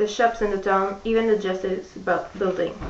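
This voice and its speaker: This woman's medium-pitched voice stays monotone, with flat intonation throughout. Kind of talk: book reading.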